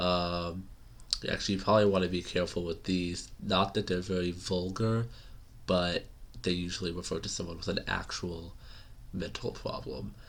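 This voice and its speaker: In an American accent, a man with a very deep, low pitch talks at a moderate pace. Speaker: English teacher. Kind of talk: casual language lesson to camera. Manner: casual, hesitant, many fillers.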